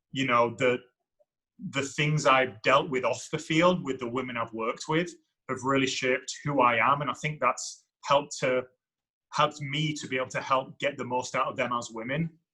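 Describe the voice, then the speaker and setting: Speaking with an English accent, a man uses a bright, sharp tone at a fairly high pitch, keeping a moderate pace and fairly even intonation. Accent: English accent in the US. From England. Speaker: university soccer coach. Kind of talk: podcast interview. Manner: halting, repetitive.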